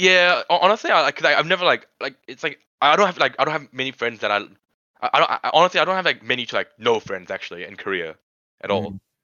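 A man speaks at a very fast pace with vocal fry and a fairly high pitch. His pitch swings very widely. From Sri Lanka, Korean family. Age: young. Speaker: student podcast host. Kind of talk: casual chat. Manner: halting.

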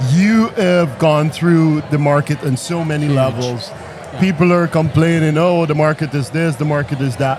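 Noticeable background noise surrounds a man speaking at a fairly high pitch with ordinary pitch variation. He keeps a moderate pace with hardly any pauses. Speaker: podcast host. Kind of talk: casual interview. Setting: conference. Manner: animated.

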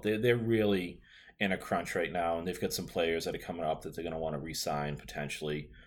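A man with a Boston accent and ordinary pitch variation. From Boston area, US. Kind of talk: casual chat. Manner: chatty, casual.

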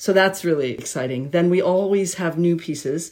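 A woman with an American accent speaks at a moderate pace in a dark, mellow tone. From US. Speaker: violinist. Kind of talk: casual interview. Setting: video call.

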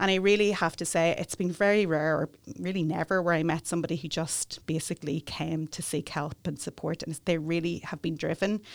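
In a Northern Irish accent, a woman with a fairly low pitch speaks at a fairly quick pace with fairly even intonation and hardly any pauses, on a very clean recording with a silent background. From Northern Ireland, Newry. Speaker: immigration solicitor. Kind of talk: interview. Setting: studio.

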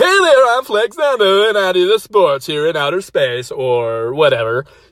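Using a put-on character voice, a man projects loudly at a moderate pace with very wide pitch swings. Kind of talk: TV sports segment. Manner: breezy, vague, unsure.

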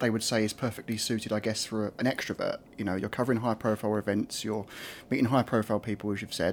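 In an Essex accent, a man talks very fast at medium pitch with fairly even intonation. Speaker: podcast host. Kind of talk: interview. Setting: backstage dressing room.

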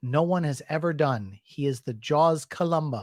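This man has an ordinary speaking voice, fairly high in pitch, with ordinary pitch variation. The recording is very clean, with a silent background. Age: 40s. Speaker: YouTube talk show host. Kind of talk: live-stream interview. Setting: live video stream.

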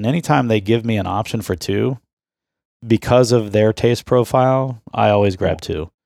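A man with an unremarkable speaking voice talks at a moderate pace and a fairly low pitch, with ordinary pitch variation. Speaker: podcast host. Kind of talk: casual chat. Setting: remote call.

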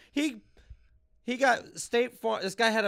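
Against a silent background on a very clean recording, a man talks with an American accent. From Los Angeles, Woodland Hills. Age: 30s. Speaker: comedian.

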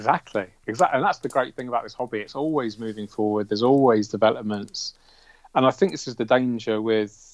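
Speaking at a very fast pace with a British accent, a man shows ordinary pitch variation and big swings in loudness. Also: medium pitch for a man. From England. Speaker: aquascaper. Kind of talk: casual interview. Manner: calm, clearly explained.

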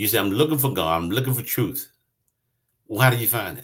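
A somewhat breathy man speaks with very wide pitch swings. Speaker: pastor. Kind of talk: sermon. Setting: livestream on social media.

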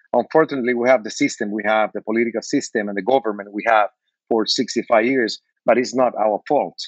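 A man with a Spanish accent speaks at a very fast pace, his pitch medium. His intonation stays fairly even, and the sound is dry and close with no echo. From Cuba. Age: 50s. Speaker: bartender and cigar brand owner. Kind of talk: interview.

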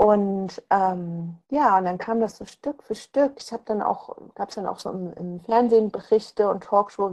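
This woman's voice has a dark, mellow tone. Her intonation stays fairly even. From eastern Germany. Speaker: author. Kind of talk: interview. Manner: hesitant, many fillers.

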